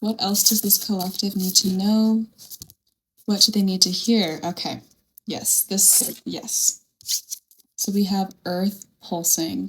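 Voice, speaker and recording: Somewhat breathy and medium in pitch, a woman speaks at a very slow pace with long, frequent pauses. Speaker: tarot reader. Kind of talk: tarot reading. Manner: animated.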